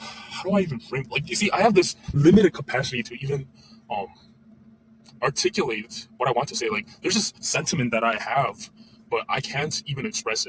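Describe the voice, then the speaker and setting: Speaking at a fairly quick pace, a man with a fairly high pitch and a somewhat breathy voice swings very widely in pitch and shows big swings in loudness. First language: not English. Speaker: former educator, vlogger. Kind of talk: casual monologue. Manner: halting, many fillers.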